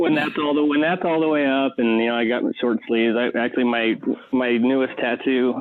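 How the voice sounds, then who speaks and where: Over noticeable background noise, a man speaks at a fairly quick pace with a medium pitch and very even loudness. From Arizona. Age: 30s. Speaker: dog trainer. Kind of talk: podcast interview. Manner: halting, many fillers and restarts.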